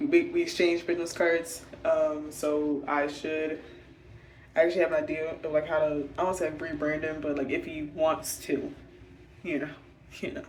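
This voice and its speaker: Soft-spoken and monotone, a woman with a very deep, low pitch speaks at a moderate pace with flat intonation and long, frequent pauses, amid noticeable background noise and audible room echo. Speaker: vlogger and designer. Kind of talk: casual vlog talk. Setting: hotel room. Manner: halting, many fillers.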